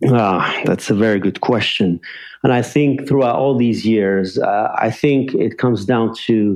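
Here is a plain, everyday voice: a man of medium pitch speaking fairly slowly with ordinary pitch variation. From Algeria, then Montreal, Canada. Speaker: international banker. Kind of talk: casual interview.

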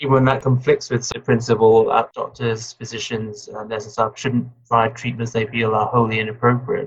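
Somewhat breathy and medium in pitch, a man speaks at a moderate pace in a monotone, flat intonation. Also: hardly any pauses. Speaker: interviewer. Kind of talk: interview questions.

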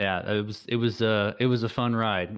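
His pace stays moderate. This man talks with an American accent. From Texas. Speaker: tech startup founder. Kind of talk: interview. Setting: remote call through a web browser. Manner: hesitant, many fillers and restarts.

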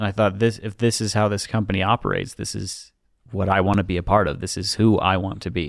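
The speaker talks very fast with an American accent, with vocal fry and fairly even intonation. The recording is very clean, the background silent. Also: man, fairly low pitch for a man. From Utah, US. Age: 20s. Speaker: drainage technician. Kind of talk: casual chat. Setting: studio.

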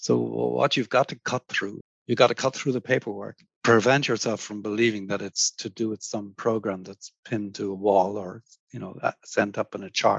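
The man speaks with an Irish accent at a fairly low pitch, using ordinary pitch variation and big swings in loudness. The sound is dry and close, with no echo. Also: moderate pace. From Ireland. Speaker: architect. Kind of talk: interview. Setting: remote call.

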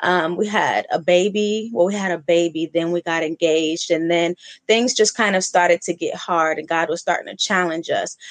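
A woman with an American accent and a normal speaking voice, fairly low in pitch, talks at a moderate pace with fairly even intonation and hardly any pauses. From US West Coast, Oakland. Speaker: brand strategist and podcast host. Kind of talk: casual chat.

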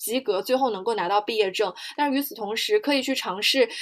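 An ordinary speaking voice, a woman's, lively in intonation and fairly high in pitch, comes through a very clean recording with a silent background. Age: 20s. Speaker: podcast co-host, comparative literature PhD student and interpreter. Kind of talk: casual chat.

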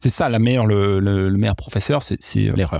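A man talks at a fairly quick pace in a dry, close sound with no echo, on a very clean recording with a silent background. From mixed: Iraq, England, US, France from age 10. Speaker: product leader. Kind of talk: podcast interview.

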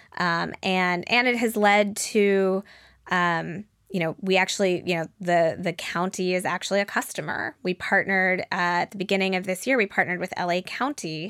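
An unremarkable speaking voice, this woman talks at a moderate pace and medium pitch with fairly even intonation, the sound dry and close with no echo on a very clean recording with a silent background. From Denver, Colorado, US. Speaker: startup founder and CEO. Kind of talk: interview.

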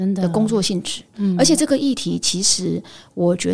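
A woman's somewhat breathy, medium-pitched voice at a fairly quick pace. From Taiwan, Pingtung. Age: 50s. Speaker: headhunting firm founder. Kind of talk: interview.

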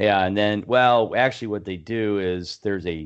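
A man speaks at a very slow pace. His voice is fairly low, with ordinary pitch variation. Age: 50s. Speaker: fantasy football podcast host. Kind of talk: casual chat.

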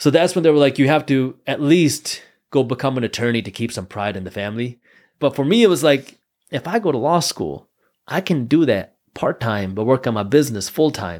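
With an American accent, a man talks at a fairly quick pace in a medium pitch with lively intonation, recorded very cleanly over a silent background. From US Midwest, Metro Detroit. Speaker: entrepreneur and finance educator. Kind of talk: casual interview.

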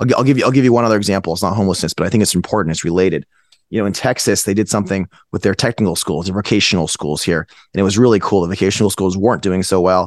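A man's very fast voice, fairly low in pitch with ordinary pitch variation, dry and close with no echo over a quiet background. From Northern California (Fremont). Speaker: tech investor. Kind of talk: interview.

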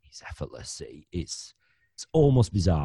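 Very deep and low in pitch, a man speaks very fast with a northern English accent. His tone is dark and mellow and somewhat breathy, set against a quiet background. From northern England, Bradford, West Yorkshire. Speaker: financial planner and podcaster. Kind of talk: interview conversation.

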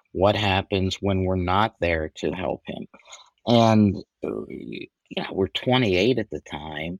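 A man's fairly low voice with lively intonation at a very slow pace, in a dry, close sound with no echo. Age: 50s. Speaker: financial planner and parent. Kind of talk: interview.

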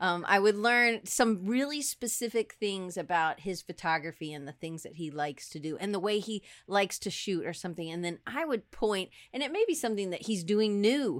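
Someone talks at a fairly quick pace with a Southern US accent. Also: woman. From US South, Atlanta. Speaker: design professor. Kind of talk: casual chat. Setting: video call. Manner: loud.

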